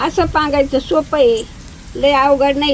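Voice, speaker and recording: With noticeable background noise behind her, a woman speaks at a high pitch in a warm tone. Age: old. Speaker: home cook, grandmother. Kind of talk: cooking demonstration talk to camera. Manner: warm, homely, affectionate.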